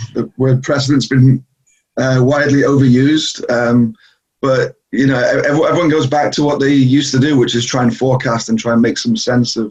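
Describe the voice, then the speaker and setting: A man's somewhat breathy, medium-pitched voice at a fairly quick pace, with fairly even intonation and very even loudness. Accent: northeast England. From northeast England. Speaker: travel company executive. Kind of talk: interview. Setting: video call.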